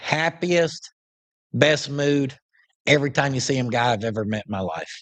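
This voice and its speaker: A man at a moderate pace with lively intonation and an Oklahoma accent. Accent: Southern US, Oklahoma. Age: 30s. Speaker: upholstery shop owner, YouTuber. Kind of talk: casual live-stream chat reading viewer questions. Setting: live stream from shop.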